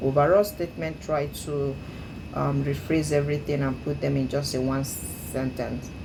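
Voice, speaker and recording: Amid noticeable background noise and audible room echo, a woman with an African accent talks at a fairly slow pace. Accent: deep African. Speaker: English speaking learner. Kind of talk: speaking practice monologue. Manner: hesitant with frequent fillers.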